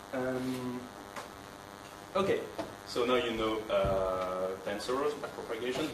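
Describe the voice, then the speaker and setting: Noticeable background noise and audible room echo around a man speaking. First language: not English. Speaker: teaching assistant. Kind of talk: lecture. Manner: hesitant, many fillers.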